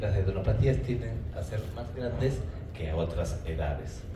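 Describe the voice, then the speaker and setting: Over noticeable background noise and audible room echo, a man talks at a fairly slow pace, his fairly low pitch making very wide swings. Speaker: pediatrics lecturer. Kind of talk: lecture. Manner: interactive, questioning.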